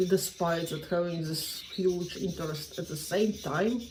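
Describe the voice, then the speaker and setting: Amid noticeable background noise and audible room echo, a woman talks fairly slowly at a medium pitch with ordinary pitch variation. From Latgale, eastern Latvia. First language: Latgalian. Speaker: language learning vlogger. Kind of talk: personal vlog monologue. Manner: halting, with many fillers and restarts.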